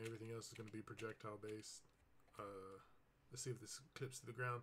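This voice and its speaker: Mumbling at a very fast pace, a man speaks somewhat breathily at medium pitch with monotone, flat intonation. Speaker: indie game developer. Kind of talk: dev diary gameplay commentary. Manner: casual, hesitant with fillers.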